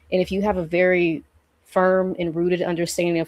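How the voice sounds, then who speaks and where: The recording is very clean, dry and close, with no echo and a silent background. A woman with an ordinary speaking voice talks at a moderate pace and a fairly low pitch. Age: 30s. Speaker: healing practitioner. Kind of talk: casual chat.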